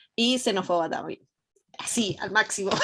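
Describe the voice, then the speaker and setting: A woman with an Argentine accent and ordinary pitch variation, on a very clean recording with a silent background. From Argentina. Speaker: student. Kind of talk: class discussion.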